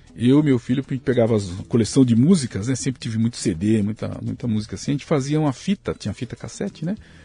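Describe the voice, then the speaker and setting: A man talks at a medium pitch and a very fast pace. His intonation is lively, with hardly any pauses. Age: 60s. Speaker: pasta factory owner. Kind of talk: casual interview chat.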